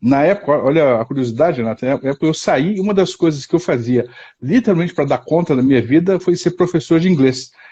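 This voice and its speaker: With lively intonation and a fairly high pitch, a man speaks at a fairly quick pace. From southern Brazil, Curitiba. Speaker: psychotherapist. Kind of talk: interview on a live stream. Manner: halting, many repetitions.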